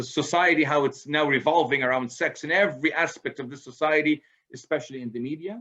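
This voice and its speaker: With a normal speaking voice, a man talks at a fairly quick pace and a fairly high pitch. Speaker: presenter on parenting, author. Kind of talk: lecture. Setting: video call.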